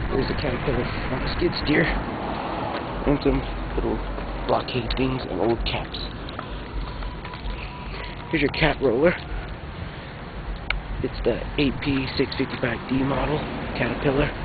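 Speaking at a very slow pace with long, frequent pauses, a man is heard over music in the background, the sound dry with no echo. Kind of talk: casual commentary. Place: street. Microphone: old recording.

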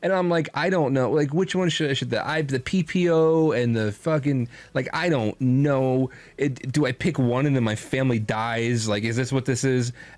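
Talking in a New Jersey accent, a man of medium pitch keeps a moderate pace and an animated tone, with very even loudness and ordinary pitch variation. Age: 30s. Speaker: streamer and podcast host. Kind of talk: casual chat. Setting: live stream.

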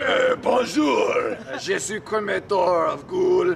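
Using a put-on character voice, a man talks at a very slow pace over clear background noise. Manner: playful, exaggerated.

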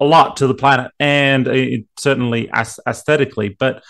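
A male voice with a quiet background. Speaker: remote guest. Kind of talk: interview answer. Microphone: video call.

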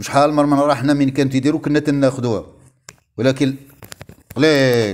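A man with a Moroccan accent speaks with fairly even intonation. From Morocco. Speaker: retired teachers' advocate vlogger. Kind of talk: video monologue. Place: home room. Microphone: earbuds.

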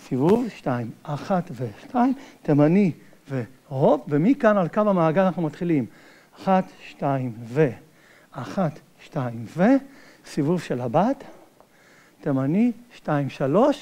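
The speech moves at a very slow pace. Long, frequent pauses break it up. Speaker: dance instructor. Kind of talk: dance tutorial step calling. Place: hall.

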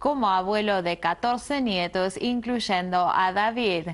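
Speaking at a fairly slow pace, a woman keeps a medium pitch with ordinary pitch variation.

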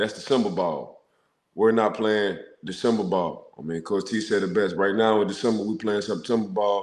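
There is audible room echo as a man speaks at a moderate pace. His pitch is fairly low, with ordinary variation. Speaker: former NFL player and football analyst. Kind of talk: casual sports talk show. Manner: animated, repetitive phrasing. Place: home room. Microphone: video call.

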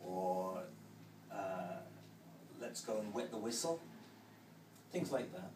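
Over noticeable background noise, a man speaks very slowly with long, frequent pauses, a fairly low pitch and very wide pitch swings. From northern England, Manchester. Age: 40s. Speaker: English teacher. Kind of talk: interview. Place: stadium. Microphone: camera far.

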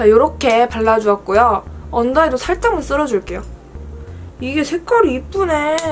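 Music plays behind a woman with a Busan accent who speaks at a high pitch with lively intonation and long, frequent pauses. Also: moderate pace. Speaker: beauty creator. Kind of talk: makeup tutorial, casual talk to camera. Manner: chatty, friendly. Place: home room. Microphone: phone near.

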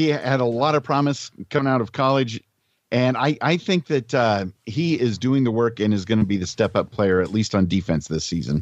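An American man talks at a moderate pace with medium pitch, very even loudness and lively intonation, in an unremarkable speaking voice. The background is quiet. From Southern California. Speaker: voice actor, podcast co-host. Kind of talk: casual chat. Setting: phone call.

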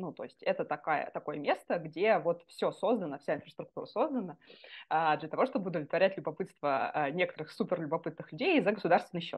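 A woman talks in an ordinary speaking voice with a fairly low pitch. Her pace is fairly quick and her intonation lively. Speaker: neuroscientist. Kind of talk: casual interview.

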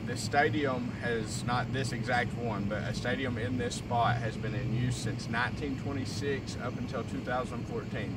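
A man with hardly any pauses, dry sound with no echo, and loud background noise. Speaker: urban explorer host. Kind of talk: casual vlog chat. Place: stadium. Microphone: camera far.

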